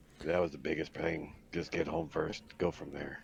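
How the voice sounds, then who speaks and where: A raspy, put-on character voice moves along at a moderate pace. Clear background noise sits behind it. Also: man, very deep, low pitch for a man. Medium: actual play.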